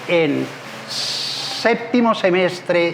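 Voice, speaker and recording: In a room with audible echo and noticeable background noise, a man speaks at a high pitch with ordinary pitch variation. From southwestern Colombia, Popayán and Cali. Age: 70s. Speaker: civil engineer and public contracting consultant. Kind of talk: interview. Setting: restaurant.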